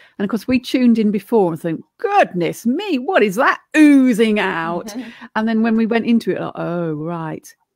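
Against a quiet background, a woman speaks at a moderate pace in a dry sound with no echo. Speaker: energy healer and coach; coach. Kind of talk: casual chat. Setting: video call. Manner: loud. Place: home room.

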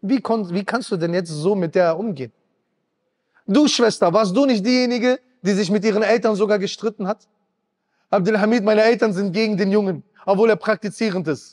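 Against a quiet background, a man with a high voice and ordinary pitch variation talks fairly quickly, with long, frequent pauses. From Germany. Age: 30s. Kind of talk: sermon. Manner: emotional, impassioned. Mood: emotional, animated. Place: hall. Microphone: handheld.

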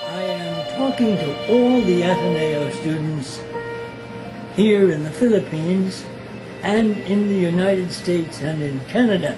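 A man's high-pitched voice with lively intonation against clear music in the background. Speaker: Jesuit priest. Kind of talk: invitation message to alumni. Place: home room.

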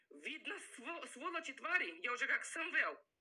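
A woman speaks in a raised, projected voice at a fairly slow pace. Her tone is bright and sharp. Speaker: vlogger. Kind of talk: emotional self-defense monologue. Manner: halting, many fillers.

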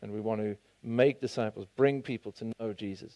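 A man's dark, mellow tone with ordinary pitch variation against a quiet background. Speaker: pastor. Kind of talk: sermon. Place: church. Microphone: headset.

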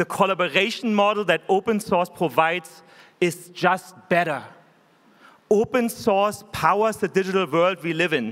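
With a German accent, a man speaks in a high voice with ordinary pitch variation. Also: moderate pace. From Germany. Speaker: tech company executive. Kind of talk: keynote speech. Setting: stage with audience. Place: hall. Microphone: podium.

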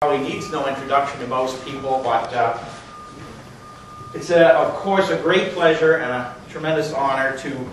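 At a moderate pace, a man speaks with ordinary pitch variation amid audible room echo and light background noise. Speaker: geology professor. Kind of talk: speaker introduction at a lecture. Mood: warm, admiring. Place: classroom. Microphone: camera far.

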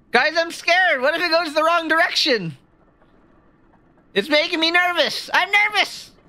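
In a put-on character voice, a woman talks at a moderate pace with an extremely high, shaky pitch and ordinary pitch variation. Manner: shaky, worried.

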